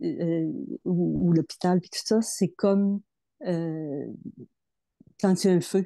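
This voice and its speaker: A woman with a fairly low pitch and a dark, mellow tone speaks at a very slow pace with long, frequent pauses and ordinary pitch variation. The sound is dry and close with no echo, over a quiet background. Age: 70s. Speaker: program participant. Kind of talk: testimony. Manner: halting.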